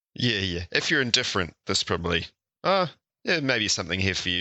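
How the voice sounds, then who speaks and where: A man with a New Zealand accent speaks at a fairly quick pace. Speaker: podcast co-host. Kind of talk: casual discussion podcast. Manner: mellow.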